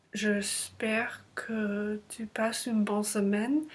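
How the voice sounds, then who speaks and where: A woman with a non-native accent speaks at a very slow pace. Her voice is fairly high and somewhat breathy. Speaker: language learner vlogger. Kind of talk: casual vlog monologue. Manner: halting, many hesitations.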